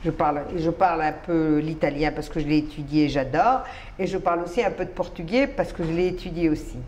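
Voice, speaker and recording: A woman with a Spanish accent, fairly low in pitch, at a fairly quick pace, over noticeable background noise. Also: ordinary pitch variation. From Colombia. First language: Spanish (speaking French). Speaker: writer and immigrant to Israel. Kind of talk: interview.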